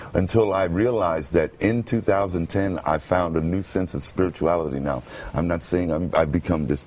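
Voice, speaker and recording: Noticeable background noise accompanies a man with a very deep, low pitch who speaks with hardly any pauses. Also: ordinary pitch variation, moderate pace. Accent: American. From Brooklyn, New York. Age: 50s. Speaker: radio announcer. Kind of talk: interview answer. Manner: hesitant, halting.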